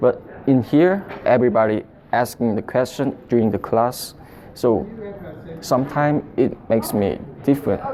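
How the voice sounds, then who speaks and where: The talking stops often for long pauses while noticeable background noise continues. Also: moderate pace. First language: not English. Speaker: international student. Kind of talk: documentary interview. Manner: halting.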